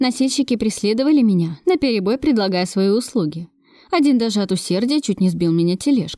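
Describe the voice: With lively intonation, the text is given plain reading aloud.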